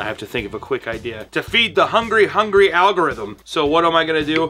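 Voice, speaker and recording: A man's voice over faint music in the background. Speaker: animator YouTuber. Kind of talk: casual vlog chat. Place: home room.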